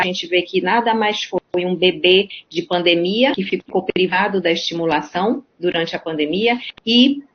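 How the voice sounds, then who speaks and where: A woman speaks at a moderate pace and medium pitch. It is an ordinary speaking voice. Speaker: pediatrician. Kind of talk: online lecture.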